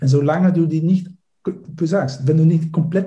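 A man at a moderate pace in a Dutch accent, somewhat breathy, dark and mellow in tone, with ordinary pitch variation and audible room echo. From Netherlands. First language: Dutch (speaking German). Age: 50s. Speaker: life coach. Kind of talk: podcast interview. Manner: hesitant, with fillers and repetitions.

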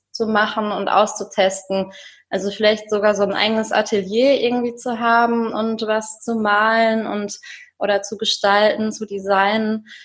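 At a fairly slow pace, a woman speaks in a fairly high voice. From Germany, rural edge of the Ruhr area. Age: 30s. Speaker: single guest on dating podcast. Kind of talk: interview, casual chat. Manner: hesitant, many fillers.

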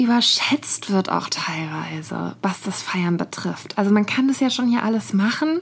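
A woman talks. There is noticeable background noise. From Nuremberg, Franconia, Germany. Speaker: podcast co-host, journalist. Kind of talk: casual chat. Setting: studio.

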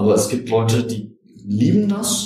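A man's medium-pitched voice with audible room echo. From Germany, Göttingen. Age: 50s. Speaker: computer scientist and espresso enthusiast. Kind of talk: casual chat. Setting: studio.

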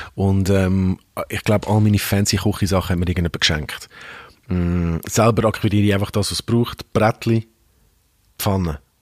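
At a moderate pace with long, frequent pauses, a man speaks in a fairly low voice with fairly even intonation, the sound dry and close with no echo. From Hong Kong. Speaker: radio host and rapper. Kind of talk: casual chat. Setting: studio.

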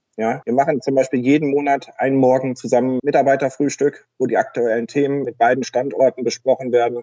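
Speaking at a fairly quick pace, a man barely pauses at all. His medium-pitched delivery is monotone and flat. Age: 40s. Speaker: tax advisor, firm owner. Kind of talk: casual interview.

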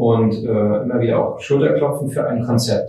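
The man's intonation is fairly even. He uses a medium pitch and talks at a moderate pace. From Mecklenburg, northern Germany (Schwerin). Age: 30s. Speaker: designer and business owner. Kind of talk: interview. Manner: hesitant, many fillers.

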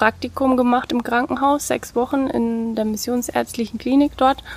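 This woman speaks at a moderate pace with a high pitch. Her intonation stays fairly even. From Lower Franconia, Bavaria (Bad Kissingen). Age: 30s. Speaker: former nurse and teacher, pet cremation business owner. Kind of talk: casual interview.

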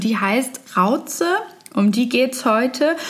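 Speaking at a fairly slow pace with a German accent, a woman with a high voice uses ordinary pitch variation over noticeable background noise. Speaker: reporter. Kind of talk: narrated report in German.

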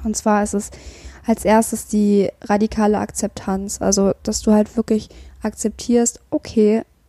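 A woman's fairly high, somewhat breathy voice with a dark, mellow tone and a dry, close sound with no echo. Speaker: mental health podcaster. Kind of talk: personal monologue with self-help tips. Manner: hesitant, many filler sounds.

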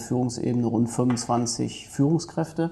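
A man speaks at a medium pitch, with noticeable background noise behind him. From Germany, Ruhr area (Duisburg). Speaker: head of a city administration office. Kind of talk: podcast interview.

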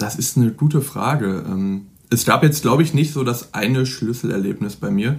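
At a moderate pace and medium pitch, a man speaks with vocal fry and ordinary pitch variation. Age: 20s. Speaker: student and fitness blogger. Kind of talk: interview.

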